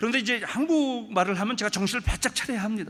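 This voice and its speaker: A man's raised, projected voice, extremely high in pitch, bright and sharp in tone, at a moderate pace. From Brazil (Korean immigrant community, São Paulo). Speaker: guest pastor at revival meeting. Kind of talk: sermon. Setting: church.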